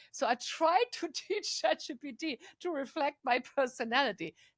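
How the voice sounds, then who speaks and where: The sound is dry and close, without any echo. A woman talks in a non-native accent. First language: not English. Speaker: AI council member. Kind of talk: casual interview conversation.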